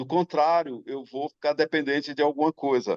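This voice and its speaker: His voice, close and dry with no echo, moves at a moderate tempo. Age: 60s. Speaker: singer-songwriter. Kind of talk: talk show panel discussion. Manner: halting.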